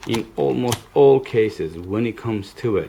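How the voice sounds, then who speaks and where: A man is talking in a dark, mellow tone. His voice has a somewhat breathy quality. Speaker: puzzle hobbyist YouTuber. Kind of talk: tutorial. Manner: hesitant, many fillers.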